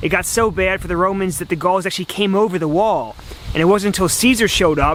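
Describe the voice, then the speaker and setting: Over noticeable background noise, a high-pitched man talks at a very fast pace with ordinary pitch variation. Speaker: history travel vlogger. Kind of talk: travel vlog narration. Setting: outdoors. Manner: quiet.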